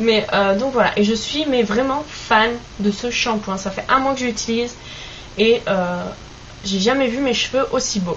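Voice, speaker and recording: Speaking in a Basque accent at a fairly slow pace with long, frequent pauses, the voice shows ordinary pitch variation over noticeable background noise. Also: woman, fairly high pitch for a woman. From French Basque Country. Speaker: beauty vlogger. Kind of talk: product review vlog. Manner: hesitant, many fillers.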